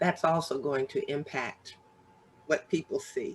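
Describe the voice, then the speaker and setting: The speaker has a plain, everyday voice and a fairly slow pace. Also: woman. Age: 60s. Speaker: author and business owner. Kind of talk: casual chat.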